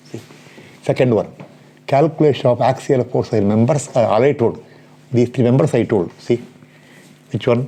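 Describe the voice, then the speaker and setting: A man with a medium-pitched voice speaks with long, frequent pauses against noticeable background noise. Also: ordinary pitch variation, moderate pace. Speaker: engineering lecturer. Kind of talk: lecture.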